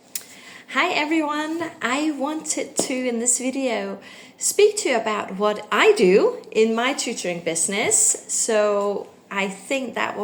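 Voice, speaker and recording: With a Danish accent and lively intonation, the speaker goes at a very slow pace amid audible room echo. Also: woman. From Denmark. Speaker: English tutor. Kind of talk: casual talk to camera. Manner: hesitant, many fillers.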